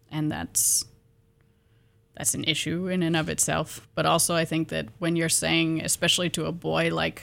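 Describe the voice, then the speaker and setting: A woman with vocal fry speaks at a fairly low pitch and a moderate pace. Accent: American. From US Pacific Northwest, eastern Washington. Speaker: graduate student. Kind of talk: radio interview. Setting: radio studio.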